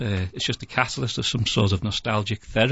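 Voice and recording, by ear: With fairly even intonation, a natural voice reads the text aloud.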